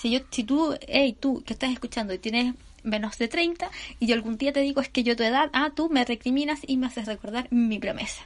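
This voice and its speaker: A woman's high, animated voice in a Chilean accent, fairly quick, with ordinary pitch variation. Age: 30s. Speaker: podcaster. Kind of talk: casual monologue.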